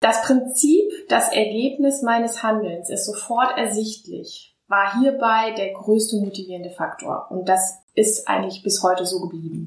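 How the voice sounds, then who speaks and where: A woman's fairly high pitch, an ordinary speaking voice, with ordinary pitch variation at a fairly slow pace. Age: 40s. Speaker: pediatric surgeon. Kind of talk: interview. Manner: formal.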